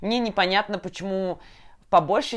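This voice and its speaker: The speaker is a woman with an unremarkable speaking voice and a medium pitch. She talks at a fairly quick pace on a very clean recording with a silent background. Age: 20s. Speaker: podcast host, designer. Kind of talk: casual chat.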